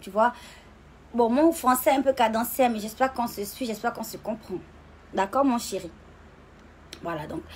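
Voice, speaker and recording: A woman at a fairly high pitch and moderate pace, with ordinary pitch variation, big swings in loudness and long, frequent pauses. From Gabon. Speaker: social media personality. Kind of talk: casual live stream monologue. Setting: live video stream. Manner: animated.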